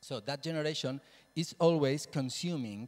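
A man speaks in a Spanish accent at a fairly slow pace. His pitch is medium with ordinary variation, and his tone is slightly mellow.

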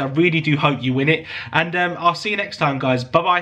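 A man moves at a fairly quick pace with a fairly high pitch. His pitch varies in an ordinary way over noticeable background noise. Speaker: YouTube collector channel host. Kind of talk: casual giveaway announcement to viewers. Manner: warm, grateful, enthusiastic.

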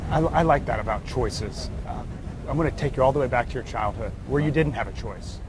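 A man's fairly high voice at a fairly quick pace, with a dry sound, no echo and noticeable background noise. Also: ordinary pitch variation. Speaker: interviewer, leadership author. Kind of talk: interview questions on stage. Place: home room. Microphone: lapel.

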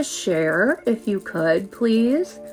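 A woman talks while faint music plays in the background. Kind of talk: casual livestream tutorial chat. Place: home room. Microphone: phone near.

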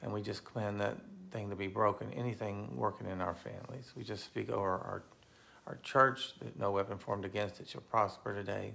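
A man's voice has a bright, sharp tone with vocal fry. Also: fairly low pitch for a man, ordinary pitch variation, fairly quick pace. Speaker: pastor. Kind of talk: fervent intercessory prayer. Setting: online video to a live audience of viewers. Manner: earnest, passionate, declaring; informal, chatty. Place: home room. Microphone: phone near.

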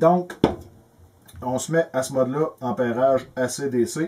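Over light background noise, a man with a Quebec accent speaks with ordinary pitch variation. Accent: Québécois French. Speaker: electrical tutorial youtuber; presenter. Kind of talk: tutorial. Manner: casual, halting with repetitions. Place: workshop.

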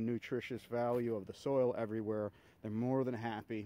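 At a moderate pace and with fairly even intonation, a man speaks in a dry sound with no echo. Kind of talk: tutorial. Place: garden. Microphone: phone near.

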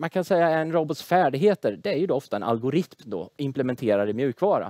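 A man at a fairly quick pace with very wide pitch swings, against a quiet background, the sound dry with no echo. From Sweden, Tranås (Småland); Sweden. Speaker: engineering professor. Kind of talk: lecture; casual interview. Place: studio. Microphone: headset.

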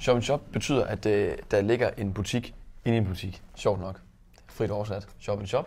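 A man speaks at a fairly slow pace with fairly low pitch, fairly even intonation and a somewhat breathy quality. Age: 20s. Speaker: wine shop owner and entrepreneur. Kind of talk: interview.

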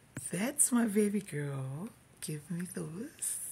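A woman speaks at a very slow pace with very wide pitch swings, her dark, mellow tone somewhat breathy against noticeable background noise. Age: 50s. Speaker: vlogger. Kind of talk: casual video vlog. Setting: office. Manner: animated. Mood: joyful, celebratory. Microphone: earbuds.

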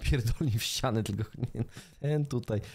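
This man talks at a moderate pace in a medium pitch. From Poland. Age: 30s. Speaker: streamer. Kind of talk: reaction stream commentary. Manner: animated. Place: home room. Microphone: studio mic.

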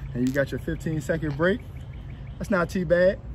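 A man at a fairly slow pace with ordinary pitch variation, over light background noise. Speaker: fitness trainer. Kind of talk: workout instruction. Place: open country. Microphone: phone near.

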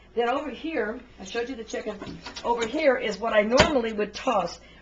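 Against noticeable background noise, a woman talks at a very fast pace with ordinary pitch variation. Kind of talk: casual cooking tutorial. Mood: chatty, thrifty tips. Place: kitchen.

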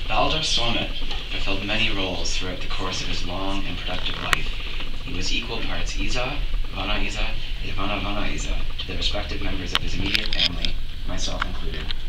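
Over loud background noise, the speaker rushes along at a very fast pace. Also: man. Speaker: grandchild giving a eulogy. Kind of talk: funeral eulogy, composed and read from a prepared text. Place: church. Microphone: camera far.

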